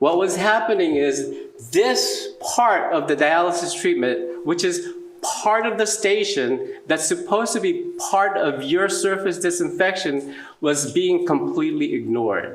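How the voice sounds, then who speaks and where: A man talks at a fairly slow pace with very even loudness. There is audible room echo and noticeable background noise. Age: 70s. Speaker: dialysis clinician and conference speaker. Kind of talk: lecture.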